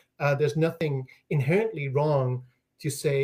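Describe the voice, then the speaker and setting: A man with a Dutch accent talks at a moderate pace in a somewhat breathy voice with ordinary pitch variation. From Netherlands. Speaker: linguistics professor. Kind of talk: interview. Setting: livestream during a power outage. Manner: animated, with many fillers.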